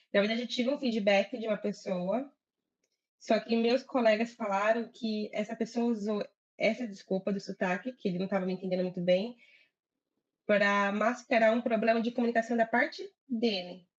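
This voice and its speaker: A woman with a fairly high, somewhat breathy voice talks at a moderate pace, her intonation fairly even. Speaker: agile project manager. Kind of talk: live interview chat.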